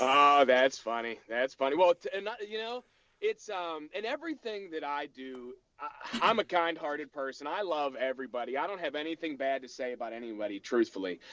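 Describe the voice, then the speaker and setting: Recorded with a dry, close sound and no echo, a man with a Pittsburgh accent talks at a fairly quick pace and a fairly high pitch, with very wide pitch swings. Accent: Pittsburgh American English. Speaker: voice impressionist and memorabilia collector. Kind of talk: interview. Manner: halting.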